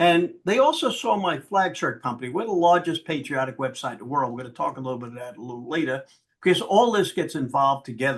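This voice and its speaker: A man with a fairly high voice speaks at a very fast pace with lively intonation. His loudness swings widely. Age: 80s+. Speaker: political activist and business owner. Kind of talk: interview storytelling. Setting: podcast or video show interview.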